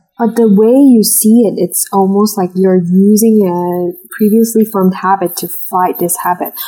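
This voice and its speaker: A woman's somewhat breathy, dark and mellow voice, medium in pitch, at a moderate pace with fairly even intonation. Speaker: college student.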